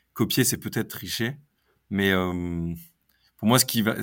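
Moderate pace from a man with a fairly low pitch, very clean recording, silent background. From northern France, Lille area. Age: 30s. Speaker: entrepreneur. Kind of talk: interview.

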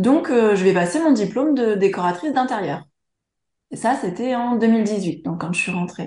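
A woman speaks with a somewhat breathy voice and lively intonation, with audible echo from the room. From France, Charente. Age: 30s. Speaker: interior decorator and entrepreneur. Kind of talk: interview. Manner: hesitant, many fillers.

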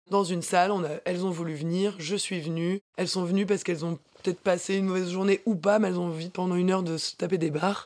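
A woman speaks at a very fast pace with hardly any pauses. Her voice sits at a medium pitch. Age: 20s. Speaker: dancer and fitness instructor. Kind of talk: casual interview. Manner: energetic.

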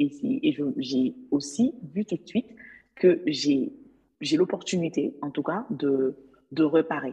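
Very deep and low, a woman's somewhat breathy voice has a dark, mellow tone and very wide pitch swings, moving at a very slow pace with long, frequent pauses. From Mali. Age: 20s. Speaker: legal assistant. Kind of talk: interview. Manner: animated.

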